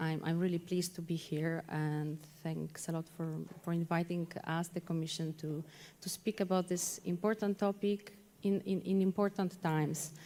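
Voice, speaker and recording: A woman speaks in a monotone, flat delivery at a moderate pace. Her voice is fairly low-pitched, with a dark, mellow tone. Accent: Polish. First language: Polish. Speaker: policy officer. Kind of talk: conference talk. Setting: conference hall. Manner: halting, many repeated words.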